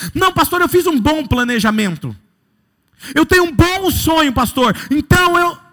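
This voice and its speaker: Raised and projected, a man's voice sits at an extremely high pitch with an animated tone. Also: lively intonation, fairly slow pace, very even loudness. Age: 30s. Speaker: pastor. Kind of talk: sermon.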